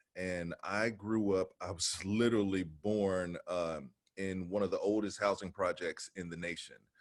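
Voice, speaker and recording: On a very clean recording with a silent background, a man with an unremarkable speaking voice and an American accent talks at a fairly slow pace and fairly low pitch, with fairly even intonation and hardly any pauses. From Cincinnati, Ohio, US Midwest. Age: 40s. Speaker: actor, former IT manager. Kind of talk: casual interview chat.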